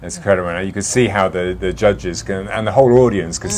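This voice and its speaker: Very wide pitch swings against noticeable background noise. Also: man. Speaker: diplomat, interviewer. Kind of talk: interview questions.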